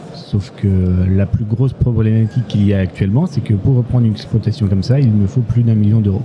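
There is noticeable background noise as a man speaks at a fairly low pitch with very even loudness. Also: ordinary pitch variation. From Corrèze, Limousin, France. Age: 20s. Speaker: farm worker. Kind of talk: interview. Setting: live at a trade fair. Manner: halting.

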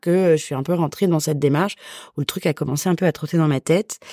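Recorded very cleanly against a silent background with a dry, close sound and no echo, a woman speaks at a fairly quick pace in a fairly low voice with ordinary pitch variation. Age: 30s. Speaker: guest sharing egg freezing story. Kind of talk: testimony. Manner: hesitant, many fillers.

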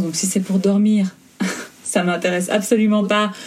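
Over noticeable background noise, a woman speaks at a moderate pace and a medium pitch. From Belgium. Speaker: fashion blogger and influencer. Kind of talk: interview.

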